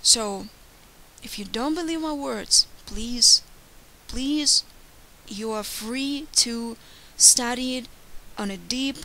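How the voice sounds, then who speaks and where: A woman's very slow speech carries ordinary pitch variation. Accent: Ukrainian. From Ukraine. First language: Ukrainian or Russian. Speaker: YouTuber. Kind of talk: monologue. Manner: earnest.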